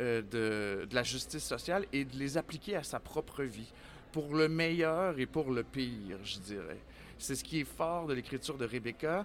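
The speaker has a plain, everyday voice. Delivery is fairly slow, with lively intonation. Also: man, medium pitch for a man. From Quebec City. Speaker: theatre artistic director. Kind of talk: interview. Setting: book fair, live on site.

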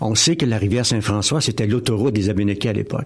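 A man's voice sits at a medium pitch with ordinary pitch variation, and noticeable background noise is present. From Quebec, Drummondville. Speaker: novelist and municipal councillor. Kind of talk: radio interview. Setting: studio. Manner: halting, repeats words.

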